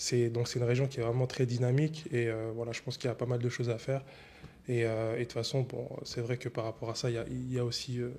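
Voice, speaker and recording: Somewhat breathy and dark, mellow in tone, a man speaks very fast in a monotone, flat delivery. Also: medium pitch for a man. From France, Annemasse area (Haute-Savoie). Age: 20s. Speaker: entrepreneur, concierge business owner. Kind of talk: interview. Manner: hesitant, many fillers.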